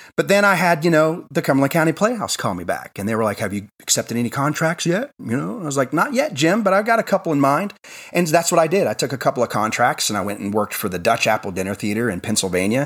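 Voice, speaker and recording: This man talks very fast, with hardly any pauses, at a fairly high pitch. His pitch swings very widely, and there is vocal fry in his voice. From Tennessee. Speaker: stage actor. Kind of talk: casual interview chat.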